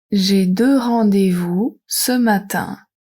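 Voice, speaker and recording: A woman speaks very slowly at medium pitch, somewhat breathy, with a dark, mellow tone. Her pitch varies an ordinary amount. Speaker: French teacher. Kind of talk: reading aloud. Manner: slow, deliberate.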